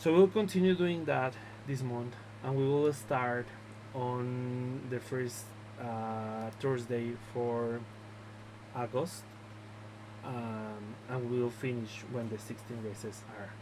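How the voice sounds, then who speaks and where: A man with a Mexican accent speaks at a very slow pace and medium pitch, with ordinary pitch variation. Long, frequent pauses and noticeable background noise fill the clip. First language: Spanish. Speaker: drone racing league organizer. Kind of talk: video announcement, explaining league rules. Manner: halting, many filler words.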